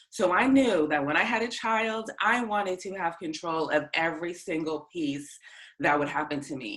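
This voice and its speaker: This woman speaks at a moderate pace in a Boston accent, her pitch swinging very widely. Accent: American English, Boston area. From US Northeast, north of Boston, Massachusetts. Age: 30s. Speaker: mother sharing birth story. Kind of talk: interview.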